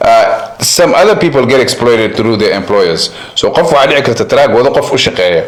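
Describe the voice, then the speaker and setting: Amid noticeable background noise and audible room echo, a man talks at a very fast pace. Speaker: community activist. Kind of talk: interview. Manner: code-switching Somali and English.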